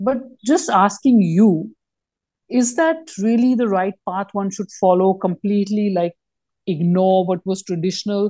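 A somewhat breathy woman at medium pitch and fairly slow pace, with a dark, mellow tone, ordinary pitch variation, a quiet background and a dry, close sound with no echo. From India. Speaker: podcast co-host. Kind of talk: interview conversation.

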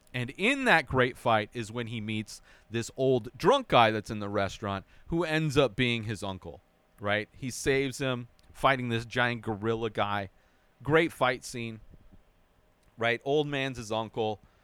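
With an ordinary speaking voice, a man talks at a fairly slow pace. His pitch is medium with ordinary variation. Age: 40s. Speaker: film review podcast host. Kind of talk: solo movie review monologue. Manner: casual, with frequent filler words.

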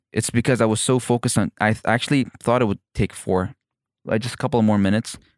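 Speaking with an Emirati accent, a man talks very fast. The sound is dry and close, without echo. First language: Arabic. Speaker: comedian. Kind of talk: casual chat. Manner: halting.

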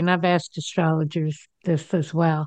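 A woman speaks at a moderate pace with an American accent. The sound is dry and close with no echo, over a quiet background. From New Jersey. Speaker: radio talk show host. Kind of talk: casual interview chat.

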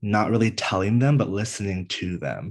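In an American accent, a man speaks in a plain, everyday voice at a fairly low pitch with ordinary pitch variation. His pace is moderate, and the background is quiet. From US East Coast, Northern Virginia. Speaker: content creator and mental health advocate. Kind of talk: casual interview.

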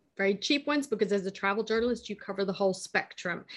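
An unremarkable speaking voice with an American accent and ordinary pitch variation comes through over a quiet background. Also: woman. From United States. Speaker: travel journalist. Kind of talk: casual chat.

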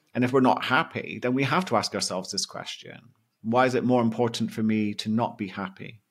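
A man speaks with a British accent at a fairly quick pace. His pitch variation is ordinary. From Britain. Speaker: mindset coach and hypnotherapist. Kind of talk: interview conversation.

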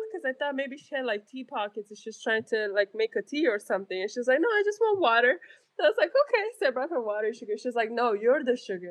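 Speaking at a very fast pace in a Romanian accent, a woman uses a high pitch with very wide pitch swings. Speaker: nurse and army reserve combat medic. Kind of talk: casual chat. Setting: remote call, separate locations.

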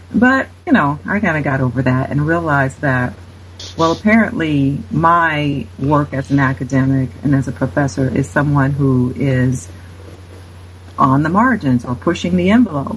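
A woman's very deep, low voice with an American accent, very wide pitch swings, vocal fry, and a moderate pace. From Cincinnati, Ohio (US Midwest). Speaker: author and religion scholar. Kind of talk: interview.

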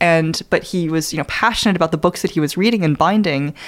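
On a very clean recording with a silent background, a woman speaks at a very fast pace. Her pitch is fairly low. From New Zealand. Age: 20s. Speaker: longevity venture capitalist. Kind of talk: interview conversation. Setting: in-person studio. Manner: animated.

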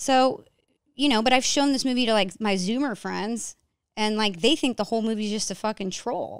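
In a very clean recording with a silent background, a woman talks at a moderate pace with an American accent. Hers is an ordinary speaking voice, fairly high in pitch, with ordinary pitch variation. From New York. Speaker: documentary filmmaker. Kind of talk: casual chat.

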